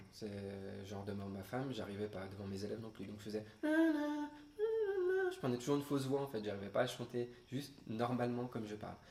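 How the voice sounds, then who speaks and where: A man's moderately paced speech carries audible room echo along with noticeable background noise. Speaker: guitar teacher. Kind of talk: webinar talk. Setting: online webinar. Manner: hesitant, many fillers.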